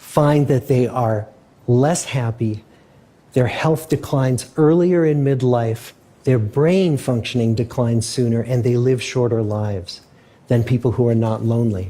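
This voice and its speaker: At a fairly slow pace, a man with a medium pitch, ordinary pitch variation, a dark, mellow tone and a somewhat breathy quality speaks with very even loudness. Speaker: research scientist. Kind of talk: public lecture.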